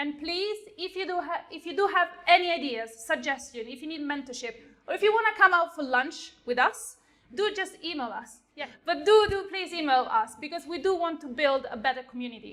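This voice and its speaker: A woman with an Italian accent speaks at an extremely high pitch and a fairly quick pace. Her tone is bright and sharp, and her intonation is lively. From Italy. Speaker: software engineer. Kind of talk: lightning talk. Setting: stage with audience.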